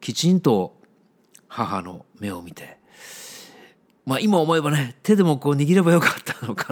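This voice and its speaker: A man is speaking. His tone is relaxed. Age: 50s. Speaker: book editor, podcast host. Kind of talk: solo monologue podcast. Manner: relaxed, conversational.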